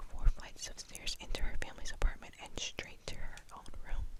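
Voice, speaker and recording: Someone whispers over noticeable background noise. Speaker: ASMR creator. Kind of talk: reading aloud. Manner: whispering.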